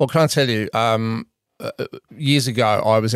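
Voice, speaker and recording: With an Australian accent, a man speaks at a moderate pace in a fairly low pitch and fairly even intonation, the sound dry and close with no echo. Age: 50s. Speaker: podcast co-host. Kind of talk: casual chat. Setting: studio.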